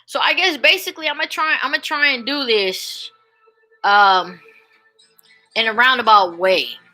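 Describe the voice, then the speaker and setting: A woman with a high voice speaks in a raised, projected way with an animated tone and very wide pitch swings. Her pace is moderate, broken by long, frequent pauses, with music playing in the background. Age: 40s. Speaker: YouTuber vlogger. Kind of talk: casual monologue vlog.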